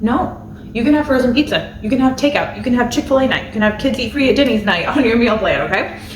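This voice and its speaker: A high-pitched woman's voice at a very fast pace, with audible room echo. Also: ordinary pitch variation. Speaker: family budget and meal planning YouTuber. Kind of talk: casual to-camera tutorial. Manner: rambling with filler words.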